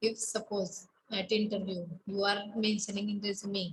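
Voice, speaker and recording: Over light background noise, a woman talks at a fairly slow pace with a monotone, flat intonation. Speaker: college lecturer. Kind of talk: online class lecture. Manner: halting, many fillers. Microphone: webcam.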